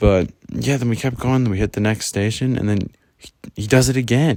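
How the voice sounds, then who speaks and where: A man speaks quietly. The recording is very clean, with a silent background. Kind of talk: casual storytime talk. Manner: quiet, subdued.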